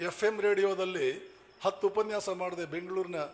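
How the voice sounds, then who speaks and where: A man's animated tone comes through above noticeable background noise. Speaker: monk giving a public talk. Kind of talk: motivational speech. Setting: stage with audience. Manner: animated oratory.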